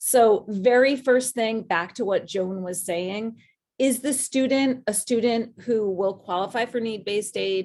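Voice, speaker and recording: A woman with a fairly high pitch speaks at a fairly slow pace with ordinary pitch variation. It is a plain, everyday voice. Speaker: college admissions advisor. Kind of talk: webinar presentation.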